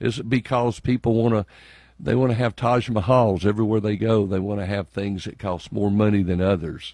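This man has a Southern US accent and a dark, mellow tone, with fairly low pitch. He talks fairly quickly with fairly even intonation against a quiet background. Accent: Southern US (Georgia). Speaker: state legislator. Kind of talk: radio interview. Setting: radio studio.

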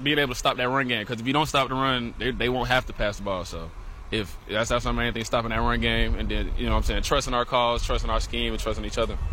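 There is noticeable background noise in this clip. Over it, a man speaks at a very fast pace. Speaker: college football linebacker. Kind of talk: pregame radio interview. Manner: halting, repeats words.

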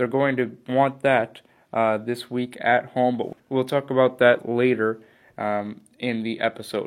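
The speaker has an American accent and talks at a fairly slow pace. The intonation stays monotone and flat. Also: man, medium pitch for a man. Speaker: sports podcast host. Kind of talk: sports talk show. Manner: hesitant, many fillers.

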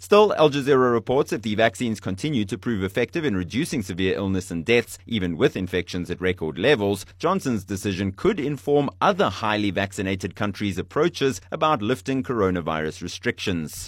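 An unremarkable speaking voice moves at a fairly quick pace. It has lively intonation and hardly any pauses. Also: man, fairly low pitch for a man. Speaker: news presenter. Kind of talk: formal newsreading of a scripted bulletin. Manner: measured, even-paced delivery of dense scripted copy; formal, neutral and matter-of-fact.

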